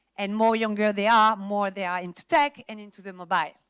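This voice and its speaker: Someone with a French accent talks at a moderate pace. The sound is dry and close with no echo, and the recording is very clean over a silent background. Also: woman. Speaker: industry presenter at a film summit. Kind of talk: conference presentation.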